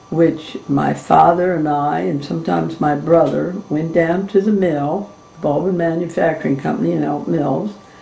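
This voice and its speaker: A woman with an American accent at a moderate pace with hardly any pauses, amid audible room echo and noticeable background noise. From Maryland, Cecil County. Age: 80s+. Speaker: family elder interviewee. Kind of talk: oral history interview.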